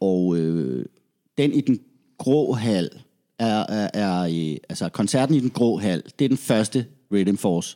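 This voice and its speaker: In a very clean recording against a silent background, a man with a dark, mellow tone and a fairly low pitch speaks very slowly, his pitch swinging very widely. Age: 40s. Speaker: reggae musician. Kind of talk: casual chat.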